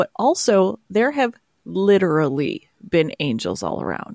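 With a dry, close sound and no echo, a woman talks at a fairly slow pace with vocal fry. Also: very clean recording, silent background. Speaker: podcast co-host. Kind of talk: casual chat.

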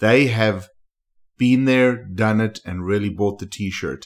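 With an enthusiastic tone, a man talks at a fairly low pitch with ordinary pitch variation on a very clean recording with a silent background. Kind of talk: interview.

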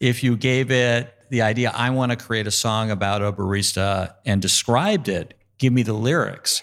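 Speaking at a fairly slow pace in a plain, everyday voice, a man with a medium pitch shows ordinary pitch variation in a very clean recording with a silent background. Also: very even loudness. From New York. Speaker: law school dean. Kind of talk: panel discussion. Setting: stage with audience.

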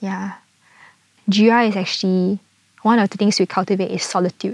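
The speaker has a Singaporean accent and an ordinary amount of pitch variation. The pace is moderate. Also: woman, dry, close sound with no echo. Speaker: nature walk guide and farm volunteer. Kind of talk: casual interview chat.

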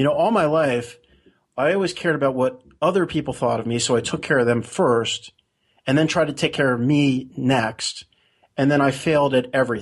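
A man speaks in a normal speaking voice at a fairly quick pace. His pitch varies in an ordinary way, and his loudness stays very even. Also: fairly high pitch for a man. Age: 40s. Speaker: blogger and conspiracy theorist. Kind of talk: interview.

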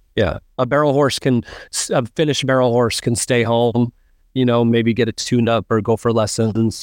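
An ordinary speaking voice with ordinary pitch variation, very even loudness, and a dry, close sound with no echo over a quiet background. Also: man. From US Pacific Northwest. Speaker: horse trainer. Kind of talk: casual interview chat.

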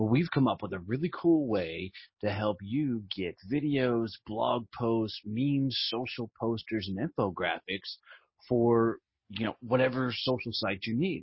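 At a fairly slow pace, a man with a medium pitch and ordinary pitch variation speaks in a somewhat breathy voice. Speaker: podcast host. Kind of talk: casual interview.

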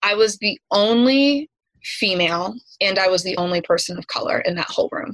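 In a normal speaking voice with an American accent, a woman speaks at a moderate pace with ordinary pitch variation, and the sound is dry and close with no echo. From US South, East Tennessee. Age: 30s. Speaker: educator and yoga instructor. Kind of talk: interview conversation.

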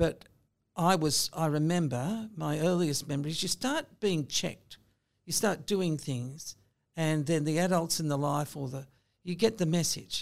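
A woman with an Australian accent and a very deep, low pitch speaks at a fairly slow pace with ordinary pitch variation on a very clean recording with a silent background. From Sydney, Australia. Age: 60s. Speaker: lawyer. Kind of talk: interview.

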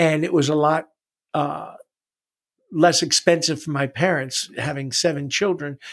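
A man with an American accent and a fairly high pitch speaks at a fairly slow pace, with fairly even intonation and long, frequent pauses. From New York City. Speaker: retired wrestling coach. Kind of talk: testimony.

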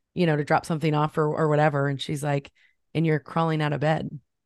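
A woman with an American accent talks in an animated tone and a very deep, low pitch against a quiet background. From US Midwest, central Illinois. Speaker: photographer and coach. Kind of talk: interview testimony. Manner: animated, frequent giggles.

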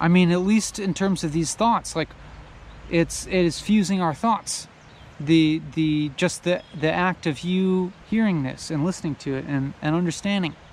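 A man at a moderate pace with a high pitch and ordinary pitch variation. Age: 30s. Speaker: solo podcaster, philosophical vlogger. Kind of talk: casual philosophical monologue while walking. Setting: outdoors, walking. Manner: halting, many fillers and repetitions.

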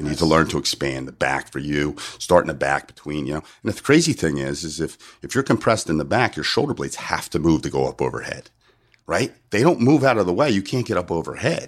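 A man with an American accent talks very fast in a very deep, low pitch with vocal fry and very wide pitch swings. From US, South New Jersey. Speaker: strength and conditioning coach. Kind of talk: casual interview chat, explaining.

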